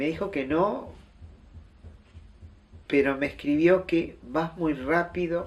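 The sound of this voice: A man speaks slowly at a fairly high pitch, with ordinary pitch variation. Room echo can be heard.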